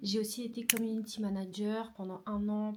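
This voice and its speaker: Amid noticeable background noise, a woman talks at a medium pitch. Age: 20s. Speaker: vlogger and photographer. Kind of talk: casual vlog. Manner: hesitant, many fillers.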